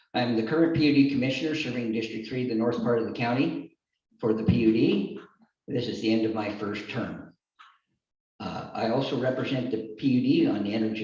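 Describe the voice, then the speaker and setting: Talking at a fairly quick pace, a man of medium pitch shows ordinary pitch variation amid audible room echo. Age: 60s. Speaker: political candidate. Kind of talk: campaign speech.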